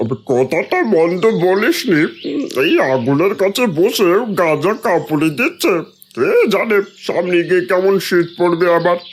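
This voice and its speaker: A man puts on a cartoonish character voice, high in pitch with ordinary pitch variation, very even loudness and a fairly slow pace. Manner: bossy, crude.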